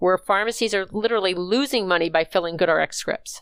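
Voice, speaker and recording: A woman has an ordinary speaking voice with medium pitch and ordinary pitch variation, at a moderate pace. The recording is very clean with a silent background, and the sound is dry and close with no echo. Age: 60s. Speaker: healthcare consulting executive. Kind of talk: interview.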